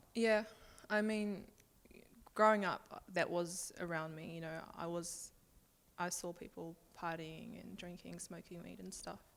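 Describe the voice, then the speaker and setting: A fairly slow New Zealand accent with long, frequent pauses, fairly even intonation and big swings in loudness. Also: woman, fairly low pitch for a woman. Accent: New Zealand accent (noted when she moved). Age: young. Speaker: interview guest sharing life story. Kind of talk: personal testimony in interview. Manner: halting, many fillers.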